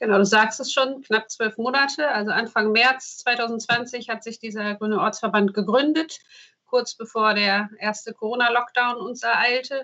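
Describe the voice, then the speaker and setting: A woman speaks at a fairly high pitch with a bright, sharp tone. Her intonation stays fairly even. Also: moderate pace. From Emsland, northern Germany. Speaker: local party spokesperson and radiologist. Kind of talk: casual interview.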